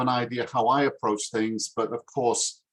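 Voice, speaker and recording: A man with a Yorkshire accent speaks with monotone, flat intonation. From northern England, Yorkshire (Harrogate). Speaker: English teacher. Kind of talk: self-introduction in a video call interview. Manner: hesitant, many fillers.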